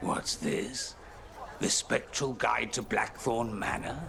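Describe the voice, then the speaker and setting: A man's put-on character voice at a fairly slow pace against clear background noise. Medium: video game.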